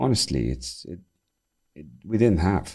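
This man's voice is very deep and low, with vocal fry. His pitch swings very widely. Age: 50s. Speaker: company CEO. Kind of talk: podcast interview.

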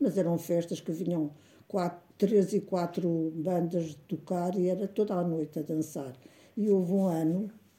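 A woman speaks with a fairly low pitch and a dark, mellow tone. Her voice is somewhat breathy, and her intonation stays fairly even. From Portugal, Canas de Senhorim (Viseu district). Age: 90s. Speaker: elderly interviewee recounting her life. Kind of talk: oral history interview. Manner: halting.

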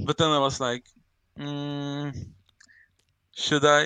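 A man's fairly high-pitched voice with a bright, sharp tone, in a dry, close sound with no echo and a quiet background. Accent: Swedish. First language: Swedish. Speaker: crypto project advisor. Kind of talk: casual chat. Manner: halting.

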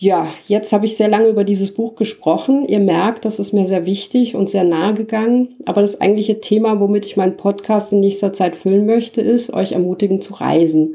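A woman's dark, mellow voice at medium pitch, fairly quick with hardly any pauses and fairly even intonation. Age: 40s. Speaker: podcaster, backpack traveller. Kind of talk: monologue podcast.

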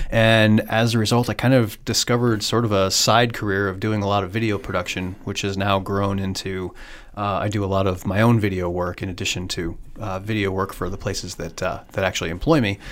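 This man speaks with a Midwestern US accent at a fairly low pitch. His pace is fairly quick and his intonation fairly even. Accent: US Midwest. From Iowa. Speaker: communications director and author. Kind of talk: casual interview. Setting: in person, guest's city.

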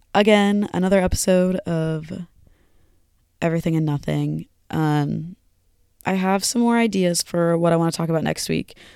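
A woman speaks in a dark, mellow tone with fairly even intonation. She takes long, frequent pauses. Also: moderate pace. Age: 20s. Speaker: college student podcast host. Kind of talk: casual solo monologue. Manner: casual, many fillers and restarts.

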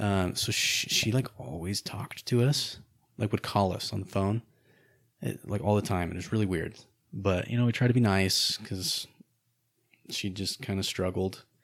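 On a very clean recording with a silent background, a man with a fairly low voice talks at a moderate pace with ordinary pitch variation and long, frequent pauses. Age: 20s. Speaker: host's husband. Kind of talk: casual chat.

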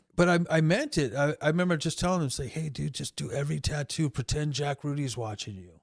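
A somewhat breathy man with an American accent speaks at a very fast pace with hardly any pauses and ordinary pitch variation. The recording is very clean, dry and close, with a silent background and no echo. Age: 50s. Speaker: tattoo artist. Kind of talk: casual chat.

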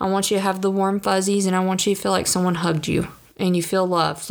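A woman speaks at a very fast pace with a Southern US accent. Her pitch sits in the medium range. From US South. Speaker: podcast host. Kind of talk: casual monologue.

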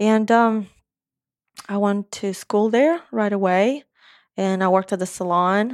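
With an Eastern European accent, a woman speaks at a fairly slow pace in a medium pitch, using ordinary pitch variation and long, frequent pauses, on a very clean recording with a silent background and a dry, close sound with no echo. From Moldova. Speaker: hairstylist and salon owner. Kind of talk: casual interview chat.

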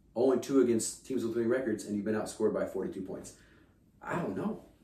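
This man has an American accent and an animated tone. He talks at a moderate pace, with audible room echo. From Kansas. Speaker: sports podcast host. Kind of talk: casual chat.

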